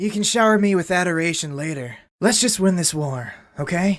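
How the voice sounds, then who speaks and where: This put-on character voice sits at a middle pitch and moves at a fairly quick pace, recorded very cleanly against a silent background. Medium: audio drama. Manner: casual, joking.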